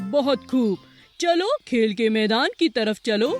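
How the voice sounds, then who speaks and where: In a cartoonish character voice, a woman speaks fairly high and at a fairly slow pace over faint music in the background. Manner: friendly, encouraging.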